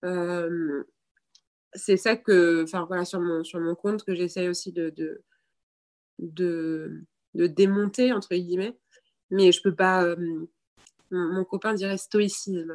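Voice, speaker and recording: Here a woman talks at a very slow pace with long, frequent pauses. Her pitch is fairly low and her intonation fairly even. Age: 30s. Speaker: breastfeeding content creator. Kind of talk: casual chat. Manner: halting.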